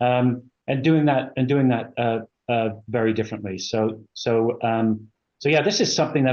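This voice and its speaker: Speaking at a moderate pace, a man with a slight British accent holds a medium pitch. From England. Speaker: company executive. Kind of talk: interview. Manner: halting, many fillers.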